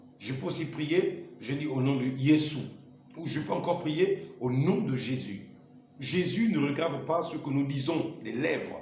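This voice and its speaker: With audible room echo and noticeable background noise, a man with a fairly high pitch talks at a very slow pace. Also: ordinary pitch variation. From Gabon. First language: Lumbu (speaking French). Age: 40s. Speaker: evangelist. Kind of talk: testimony.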